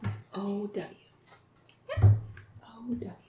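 A woman is speaking. Noticeable background noise runs behind her voice. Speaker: teacher. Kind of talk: tutorial. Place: home room. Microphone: camera far.

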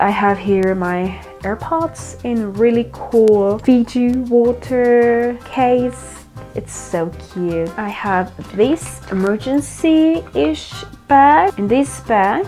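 Over faint music in the background, a woman of medium pitch talks at a very slow pace with lively intonation. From Mexico. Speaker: architect. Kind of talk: casual talk to camera. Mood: cheerful, enthusiastic. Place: home room. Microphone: lapel.

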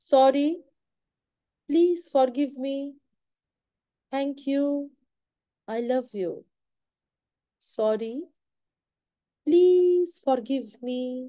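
Against a quiet background, a woman with an Indian accent speaks at a very slow pace with long, frequent pauses, her high, dark and mellow voice showing ordinary pitch variation. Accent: Indian English, Hindi-speaking. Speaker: tarot reader. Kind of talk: live stream guidance and meditation. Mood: calm, soft, eyes closed. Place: home room. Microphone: phone near.

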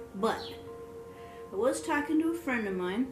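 Over clear music in the background, a woman talks at a moderate pace. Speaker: home vlogger. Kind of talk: casual vlog chat. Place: home room. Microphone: phone near.

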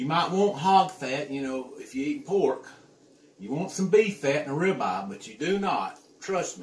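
A man at a moderate pace in audible room echo. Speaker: home cook vlogger. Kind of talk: casual cooking tutorial. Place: kitchen.

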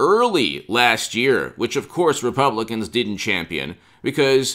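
A man's bright, sharp tone with vocal fry, at a fairly slow pace against a quiet background. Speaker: political commentator. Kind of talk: commentary. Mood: opinionated, critical. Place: home room.

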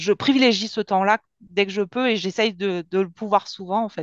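Against a quiet background, a woman speaks at a moderate pace in a dry sound with no echo. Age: 40s. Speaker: program participant giving testimony, former nurse. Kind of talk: testimony. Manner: halting, with many fillers. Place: home room. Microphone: headset.

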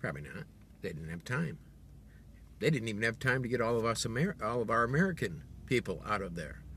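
Very fast and broken by long, frequent pauses, this man's bright, sharp voice sits at a medium pitch, swings very widely in pitch, carries vocal fry, and sounds dry with no echo over light background noise. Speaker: video blogger. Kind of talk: angry political rant, direct-to-camera monologue. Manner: indignant, sarcastic, pointed; emphatic, accusatory, rhetorical questions. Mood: indignant, opinionated. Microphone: phone near.

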